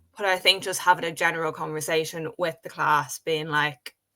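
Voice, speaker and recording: Moderate pace in an Irish accent. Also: woman. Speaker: stammering advocate. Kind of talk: interview conversation. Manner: disfluent with repetitions.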